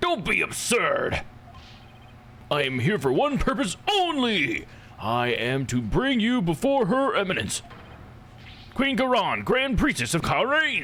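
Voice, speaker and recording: A loud, shouting put-on character voice at a fairly slow pace, with long, frequent pauses and clear background noise. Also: man, extremely high pitch for a man. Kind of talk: formal, pompous.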